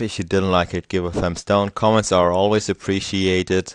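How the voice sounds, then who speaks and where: A man with a German accent talks at a moderate pace in a fairly low pitch. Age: young. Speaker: software tutorial youtuber. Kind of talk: tutorial. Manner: halting; casual.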